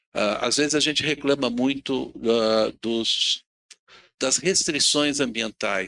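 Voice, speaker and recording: A man's bright, sharp tone comes through a dry, close sound with no echo as he speaks at a very slow pace with ordinary pitch variation. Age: 60s. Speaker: panel speaker on sustainability. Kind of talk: talk at a public event.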